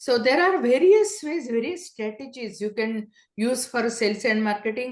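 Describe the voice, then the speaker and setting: Her speech moves at a fairly slow pace. The speaker is a woman with a non-native accent. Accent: heavy non-native. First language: not English. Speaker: solopreneur business coach. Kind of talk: interview. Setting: podcast interview. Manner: hesitant with fillers.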